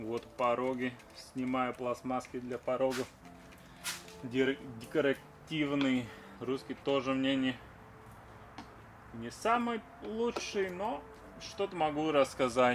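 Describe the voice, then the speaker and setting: A man's medium-pitched voice over music in the background, fairly slow with long, frequent pauses and ordinary pitch variation. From Latvia. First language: Latvian. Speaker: car restoration vlogger. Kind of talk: casual DIY vlog talk while working. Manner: casual, chatty.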